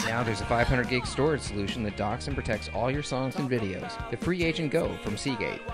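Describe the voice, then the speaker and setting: With music in the background, a man at medium pitch races along at a very fast pace with hardly any pauses and very wide pitch swings. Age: 40s. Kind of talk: TV commercial read. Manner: open, approachable.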